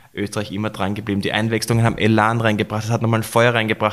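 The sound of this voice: A man's fairly low voice with little pitch movement.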